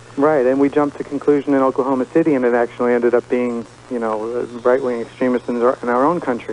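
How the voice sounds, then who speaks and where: A man with an American accent talks at a very fast pace in a monotone, flat way, his pitch medium. Noticeable background noise runs under the recording. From New York. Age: 30s. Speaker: radio caller. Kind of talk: call-in radio talk.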